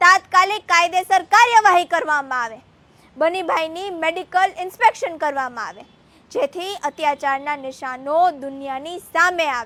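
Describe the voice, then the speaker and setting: A woman uses a raised, projected voice with an extremely high pitch and a bright, sharp tone. Her intonation is lively, and her loudness swings widely. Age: young. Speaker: activist. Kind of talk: political speech. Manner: impassioned.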